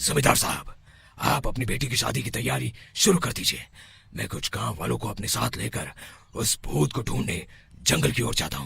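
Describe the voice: A man's cartoonish character voice, medium in pitch, swinging very widely up and down at a moderate pace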